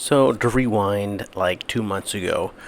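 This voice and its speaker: A man's fairly low voice, fairly slow in pace and fairly even in intonation. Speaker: missionary. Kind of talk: video update. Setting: apartment at night. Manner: halting, many fillers; quiet, hushed.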